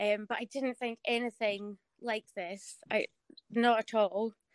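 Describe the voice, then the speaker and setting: A woman's fairly high voice in a Scottish accent, monotone and flat, at a fairly slow pace, with a dry, close sound, no echo and a quiet background. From Scotland. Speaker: foot model. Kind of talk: casual chat. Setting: video call.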